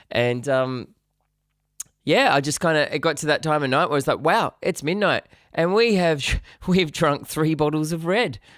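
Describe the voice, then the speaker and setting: In a very clean recording with a silent background, a man with an Australian accent speaks at a fairly high pitch. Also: ordinary pitch variation, moderate pace, very even loudness. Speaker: musician streamer. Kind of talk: casual live stream chat. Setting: live stream.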